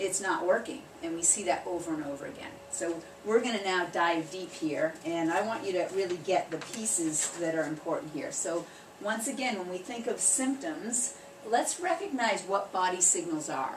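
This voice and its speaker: A woman of medium pitch speaks with lively intonation at a moderate pace, with noticeable background noise and audible room echo. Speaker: chiropractor. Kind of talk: workshop presentation. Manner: animated.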